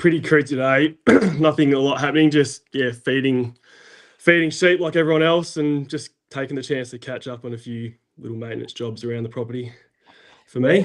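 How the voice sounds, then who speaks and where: A man is talking. He goes at a fairly quick pace with a fairly high pitch. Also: ordinary pitch variation, big swings in loudness. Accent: Australian. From South Australia. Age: 30s. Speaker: farm overseer, former firefighter. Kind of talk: podcast interview. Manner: hesitant, many fillers.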